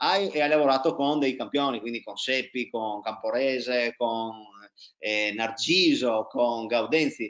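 Against a quiet background, the speaker goes at a very slow pace with ordinary pitch variation. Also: man. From Italy, Trieste; Italy. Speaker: tennis coach and interviewer; tennis coach, interviewer. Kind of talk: casual interview. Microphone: video call.

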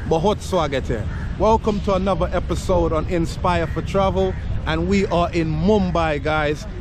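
At a moderate pace, a man speaks in a dry recording with no echo and noticeable background noise. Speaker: travel vlogger. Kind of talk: casual vlog chat. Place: open country. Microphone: phone near.

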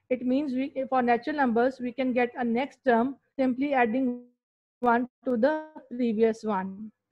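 This woman has a high-pitched voice. Her intonation stays fairly even. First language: Urdu/Hindi. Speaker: school teacher. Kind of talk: online maths lesson. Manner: slow, repetitive explaining.

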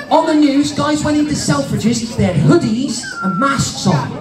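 Over noticeable background noise, a man speaks at an extremely high pitch with very wide pitch swings. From Cornwall. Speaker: stand-up comedian. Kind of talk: stand-up comedy routine for a family audience. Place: stage. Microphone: pa.

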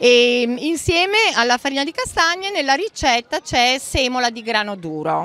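A woman speaks at a high pitch with very wide pitch swings. Her pace is moderate. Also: dry sound with no echo. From Emilia-Romagna, Romagna. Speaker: home cook running a social fresh-pasta project; pasta stall vendor. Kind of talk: interview at a fair. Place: market. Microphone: handheld.

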